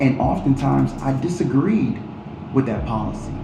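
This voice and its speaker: Moderate pace, noticeable background noise and audible room echo. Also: man. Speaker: political candidate. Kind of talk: interview.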